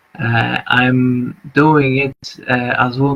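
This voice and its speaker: A man at medium pitch with a Polish accent, at a very slow pace. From Poland. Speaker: artist and vlogger. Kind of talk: live stream monologue. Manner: halting, many fillers.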